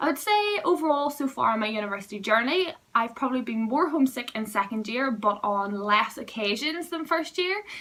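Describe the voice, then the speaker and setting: A woman with a Northern Irish accent speaks with lively intonation over noticeable background noise. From Northern Ireland. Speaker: student vlogger. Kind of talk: vlog advice talk.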